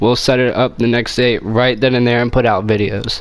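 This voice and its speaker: Quiet and at a fairly quick pace, a man speaks over noticeable background noise. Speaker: gaming streamer. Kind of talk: casual chat.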